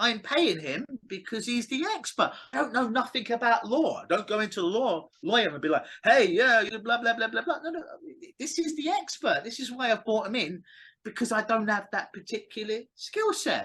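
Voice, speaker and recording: A man with an English accent speaks at a moderate pace in a raised, projected voice. His tone is bright and sharp, his pitch extremely high, and his intonation lively. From England. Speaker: clinical hypnotist. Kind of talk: interview. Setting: call.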